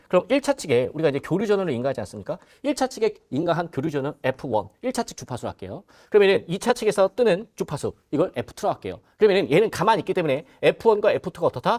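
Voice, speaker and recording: A man talks at a very fast pace with a high pitch and very wide pitch swings. The sound is dry and close with no echo. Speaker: exam prep instructor. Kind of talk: lecture. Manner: animated; loud.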